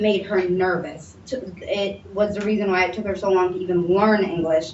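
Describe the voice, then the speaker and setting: Noticeable background noise and audible room echo accompany a woman at medium pitch. She talks at a moderate pace with fairly even intonation. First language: Somali. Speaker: mental health panel speaker. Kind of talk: testimony. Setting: panel presentation with audience.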